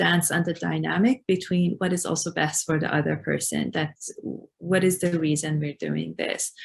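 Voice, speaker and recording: In an Iranian accent, a woman speaks at a moderate pace. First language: Farsi. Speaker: refugee support worker. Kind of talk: webinar discussion.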